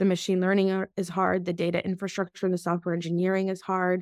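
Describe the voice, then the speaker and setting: In a very clean recording with a silent background and a dry, close sound with no echo, a woman with an American accent talks at a very fast pace in a medium pitch with monotone, flat intonation. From Russia (Moscow), then US. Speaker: biotech executive. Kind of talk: interview.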